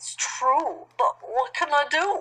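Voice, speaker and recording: The pitch is extremely high for a woman. She is doing a put-on character voice. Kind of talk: bedtime story. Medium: read story.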